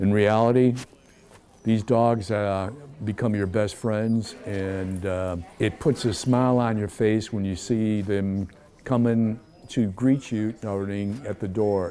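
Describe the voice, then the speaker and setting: Very slow and fairly low in pitch, a man speaks with a dark, mellow tone. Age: 70s. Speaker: military veteran with a service dog. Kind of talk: interview.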